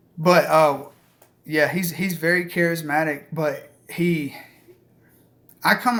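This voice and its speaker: A man with a strong Southern US accent. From US South. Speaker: outdoor/hunting channel host. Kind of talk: live stream Q&A chat. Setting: live stream. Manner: casual, filler-heavy.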